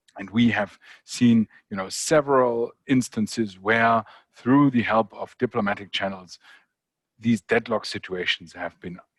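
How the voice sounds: Slow and fairly low, a man's voice carries a slightly husky edge. The sound is dry and close, without echo.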